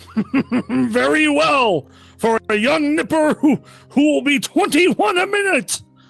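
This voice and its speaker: Someone performs a put-on character voice at a fairly slow pace. Faint music plays in the background. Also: man. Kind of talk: vintage radio drama performance. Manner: hearty, jovial.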